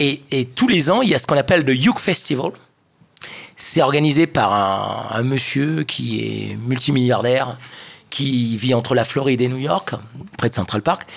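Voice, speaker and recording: A man with vocal fry talks at a fairly slow pace, taking long, frequent pauses, with ordinary pitch variation. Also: medium pitch for a man. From Réunion Island. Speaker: session musician. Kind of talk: casual chat.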